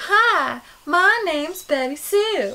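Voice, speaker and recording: A female-sounding, put-on character voice at an extremely high pitch is performed in a Southern US accent. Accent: Southern American. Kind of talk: sweet, exaggerated.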